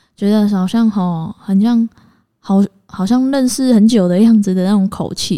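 With a Taiwanese accent, a woman speaks at a fairly slow pace. Her tone is dark and mellow, and the sound is dry and close with no echo. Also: medium pitch for a woman, fairly even intonation. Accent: Taiwanese Mandarin. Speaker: podcast co-host. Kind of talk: casual chat. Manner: direct, blunt.

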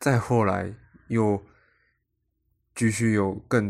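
Monotone, flat intonation from a man speaking with a fairly low pitch. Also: very clean recording, silent background. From Taiwan. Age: 20s. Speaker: podcast host, aspiring actor. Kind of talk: solo podcast monologue.

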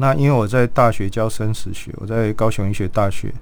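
Audible room echo surrounds a man who talks at a very fast pace with a fairly low pitch and fairly even intonation. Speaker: palliative care physician. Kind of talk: interview.

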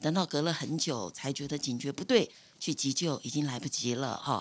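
On a very clean recording with a silent background, a woman speaks at a moderate pace in a very deep, low pitch with ordinary pitch variation. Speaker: retired nursing supervisor. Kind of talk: interview.

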